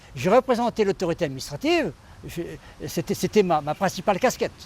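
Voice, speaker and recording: The man's intonation is lively. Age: 70s. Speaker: retired gendarme. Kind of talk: testimony. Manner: halting, with frequent repetitions.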